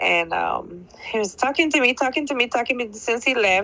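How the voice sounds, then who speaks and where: This is a woman speaking with a Belizean accent. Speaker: caller. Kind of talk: testimony.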